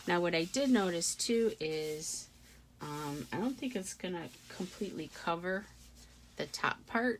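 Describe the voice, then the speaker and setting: Mumbling at a fairly slow pace, a woman speaks in a fairly low voice with lively intonation. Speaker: craft tutorial creator. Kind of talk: tutorial. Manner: casual, thinking aloud with fillers.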